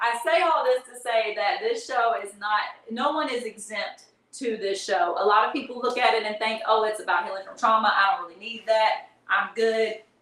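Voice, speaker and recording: Animated, fairly high-pitched woman's voice with ordinary pitch variation and big swings in loudness, in audible room echo. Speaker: live streamer and tour producer. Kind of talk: livestream monologue. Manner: fast.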